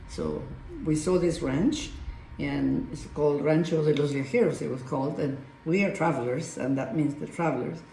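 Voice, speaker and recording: A woman with a Spanish accent and a very deep, low pitch, ordinary pitch variation and a moderate pace, amid noticeable background noise and audible room echo. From Argentina. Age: 80s+. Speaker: vineyard owner. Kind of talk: casual interview.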